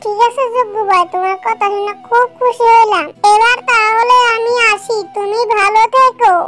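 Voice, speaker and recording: The speaker uses a cartoonish character voice. Faint music plays in the background. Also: fairly slow pace. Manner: eager, ingratiating.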